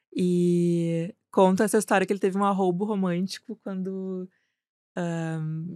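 The delivery is monotone and flat in a very clean recording with a silent background and a dry, close sound with no echo. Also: woman. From Porto Alegre, Rio Grande do Sul, Brazil. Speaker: advertising executive. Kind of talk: casual chat.

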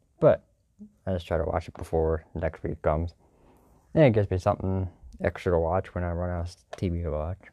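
This man's very deep, low voice has a dark, mellow tone and flat, monotone intonation, moving at a fairly quick pace with long, frequent pauses in a dry, close recording over a quiet background. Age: 30s. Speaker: sports podcast host. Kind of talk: casual monologue. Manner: rambling, hesitant with fillers.

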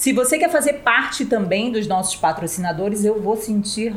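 Noticeable background noise sits under a voice with lively intonation. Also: woman. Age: middle-aged. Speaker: podcast co-host. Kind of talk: sponsor plug; casual chat.

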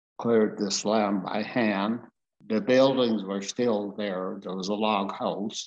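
Speaking in a western Canadian accent, a man keeps a fairly low pitch. His delivery is very slow, with monotone, flat intonation. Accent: rural western Canadian. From rural Alberta, Canada. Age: 80s+. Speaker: farmer. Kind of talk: life story interview. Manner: casual, plainspoken.

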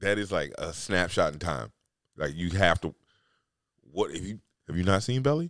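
This man's voice sits very deep and low, with lively intonation and vocal fry. The sound is dry and close, with no echo. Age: 40s. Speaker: podcast host. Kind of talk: casual monologue. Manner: halting, many fillers.

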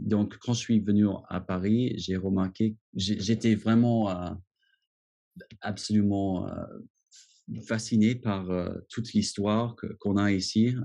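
In an English accent, this dark, mellow voice speaks at a very slow pace with monotone, flat intonation and long, frequent pauses. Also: man, fairly low pitch for a man. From US, Washington. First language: English (speaking French). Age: 30s. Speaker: expat. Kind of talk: interview. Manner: halting, many repetitions.

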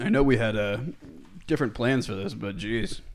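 The speaker is a man. His voice has vocal fry. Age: 20s. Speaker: podcast co-host. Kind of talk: casual chat.

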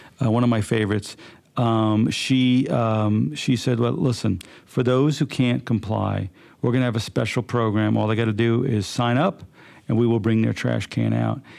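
A man talks in an unremarkable speaking voice at a medium pitch, with ordinary pitch variation and very even loudness. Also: moderate pace. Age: 60s. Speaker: podcast host. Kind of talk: interview.

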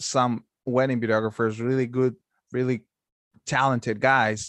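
A man with a Mexican accent speaks with fairly even intonation in a dry, close sound with no echo. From Mexico. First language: Spanish. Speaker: wedding videographer. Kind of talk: casual chat.

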